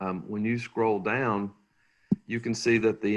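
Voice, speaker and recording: A man with a Tennessee accent talks at a moderate pace. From Tennessee (Knoxville). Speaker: manufactured housing sales specialist. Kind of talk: webinar presentation. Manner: halting, many fillers.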